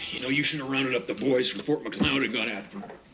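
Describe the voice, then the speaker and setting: A man puts on a raspy character voice at a medium pitch. He rattles along at a very fast pace over light background noise. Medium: short film. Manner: blunt.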